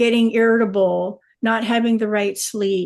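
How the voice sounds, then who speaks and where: Pitch variation here is ordinary. A woman talks fairly slowly. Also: quiet background. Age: 60s. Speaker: wellness company distributor. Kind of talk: testimony. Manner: halting.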